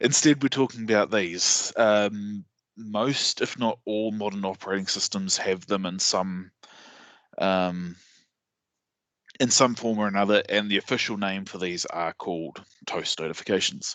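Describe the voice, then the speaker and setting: A fairly slow man's voice in a New Zealand accent, fairly low in pitch. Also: ordinary pitch variation. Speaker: sysadmin and conference speaker. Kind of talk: technical presentation. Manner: hesitant, many fillers.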